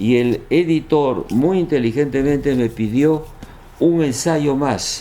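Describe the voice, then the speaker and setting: A man speaks very slowly at a medium pitch. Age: 80s+. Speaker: historian and author. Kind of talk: interview. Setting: at his home in Lima.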